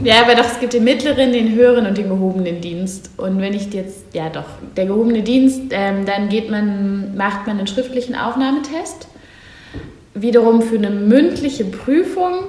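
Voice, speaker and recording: Amid noticeable background noise and audible room echo, a woman speaks at a fairly high pitch and moderate pace with lively intonation. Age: 20s. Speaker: political science master's student and civic initiative founder. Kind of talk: podcast interview.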